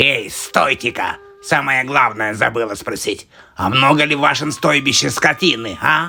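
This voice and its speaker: Doing a cartoonish character voice, a man speaks at a medium pitch and a moderate pace. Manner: sly, scheming.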